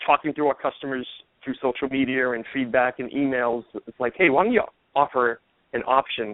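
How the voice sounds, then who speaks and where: Speaking with a Boston accent, a man talks at a fairly quick pace with a medium pitch and fairly even intonation. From Boston, US. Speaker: golf ball company founder. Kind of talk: radio interview.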